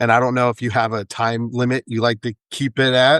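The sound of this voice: A man with a medium pitch talks at a fairly quick pace in a clear, smooth, fairly bright tone that is also raspy, with little pitch movement and a dry, close sound with no echo.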